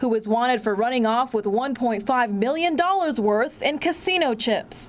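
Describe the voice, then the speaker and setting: A woman speaks at a moderate pace with a high pitch and lively intonation over noticeable background noise. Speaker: TV news reporter. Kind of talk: live field news report to camera.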